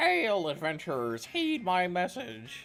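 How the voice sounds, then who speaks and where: Over music in the background, a man puts on a high-pitched character voice, speaking at a fairly slow pace with very wide pitch swings. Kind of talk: archaic heroic. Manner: calling out.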